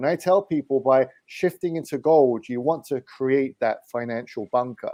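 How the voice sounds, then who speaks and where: With an English accent, a man speaks at a fairly high pitch with ordinary pitch variation. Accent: English accent, noticeable. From England, London. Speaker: precious metals investment advisor. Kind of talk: interview.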